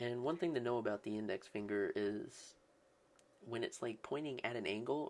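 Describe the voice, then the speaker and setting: A quiet man's voice at medium pitch, with ordinary pitch variation and a moderate pace. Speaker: art tutorial creator. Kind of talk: tutorial. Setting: home, early morning. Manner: quiet, subdued excitement; casual, filler-heavy.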